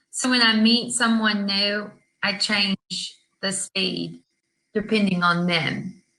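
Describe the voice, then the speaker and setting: A woman with a Southern US accent speaks at a very slow pace and medium pitch, her intonation monotone and flat. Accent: Southern American English. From US South, Georgia. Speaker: online English tutor. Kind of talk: casual chat.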